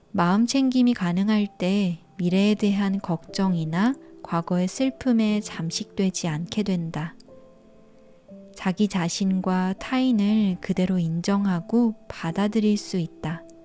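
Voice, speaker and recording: With music in the background, a woman speaks very slowly at a medium pitch, her loudness very even and her pitch varying in an ordinary way. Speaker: audiobook narrator. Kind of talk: audiobook reading.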